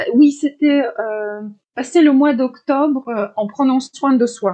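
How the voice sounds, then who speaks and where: A woman with a Polish accent speaks at a very slow pace in a high pitch with a dark, mellow tone. Her pitch variation is ordinary, and the background is quiet. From Poland. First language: Polish (speaking French). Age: 40s. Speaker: life coach. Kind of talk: interview.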